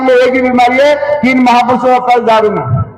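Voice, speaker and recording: A man talks at a moderate pace with an extremely high pitch. Noticeable background noise runs underneath. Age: 60s. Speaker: party politician. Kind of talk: political speech.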